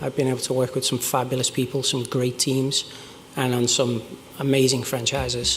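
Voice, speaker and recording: Speaking with a Liverpool accent, a man talks at a fairly quick pace in a medium pitch. There is noticeable background noise and audible room echo. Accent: Liverpool (Scouse). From northern England, Liverpool. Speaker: game design director. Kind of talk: conference talk. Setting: stage with audience.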